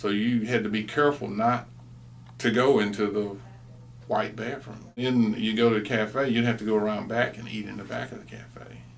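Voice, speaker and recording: Speaking with an American accent, a man at medium pitch uses monotone, flat intonation at a moderate pace, with big swings in loudness and audible room echo. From East Texas. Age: 60s. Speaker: interviewee, former student. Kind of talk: oral history interview.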